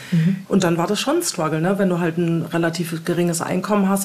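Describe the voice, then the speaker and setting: A woman's fairly low pitch and fairly even intonation, with audible room echo and noticeable background noise. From Hamburg, northern Germany. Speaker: former alcoholic and emigrant. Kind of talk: interview. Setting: home studio.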